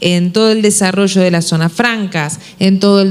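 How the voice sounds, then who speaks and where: An Uruguayan accent against noticeable background noise. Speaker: panel moderator. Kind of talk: panel discussion.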